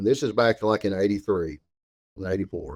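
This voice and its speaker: A man with a Southern US accent talks at a very fast pace in a dark, mellow tone, recorded very cleanly with a silent background and a dry, close sound with no echo. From Arkansas. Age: 60s. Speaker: store owner. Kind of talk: interview.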